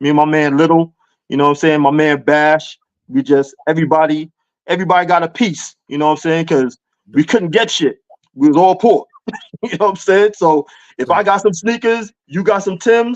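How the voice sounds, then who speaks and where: A man with a high voice and a slight New York accent talks at a fairly quick pace. His pitch varies in an ordinary way, and the sound is dry and close with no echo. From New York City (Queens). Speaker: hip hop culture guest. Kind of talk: casual chat.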